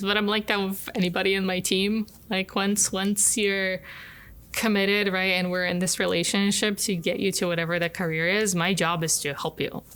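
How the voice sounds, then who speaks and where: Flat and monotone, a woman of medium pitch talks at a fairly quick pace with very even loudness. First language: not English. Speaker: engineering professor. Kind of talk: interview.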